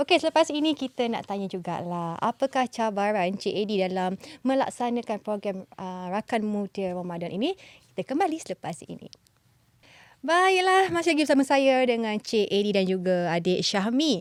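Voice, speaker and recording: In a normal speaking voice, a woman with a fairly high pitch and lively intonation talks at a moderate pace, the sound dry and close with no echo. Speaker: radio host. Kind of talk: casual interview.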